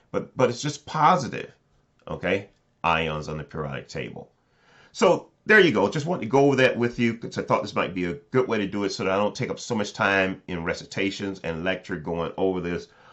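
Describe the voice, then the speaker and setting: Loud and fairly quick, a man speaks with a fairly low pitch and very wide pitch swings. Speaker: chemistry professor. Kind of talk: lecture. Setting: recorded video, looking down at notes.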